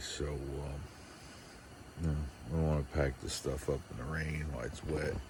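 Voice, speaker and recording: In a very deep, low voice, a man speaks with monotone, flat intonation. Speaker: camping vlogger. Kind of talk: casual vlog narration. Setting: outdoors, camping in a tent. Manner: hesitant with many fillers.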